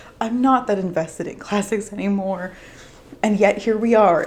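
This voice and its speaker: A woman speaks fairly quickly while noticeable noise sounds behind her. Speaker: book youtuber. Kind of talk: casual vlog talk.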